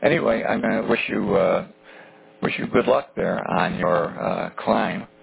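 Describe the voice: At a moderate pace, a man speaks low with vocal fry and a husky, rough edge.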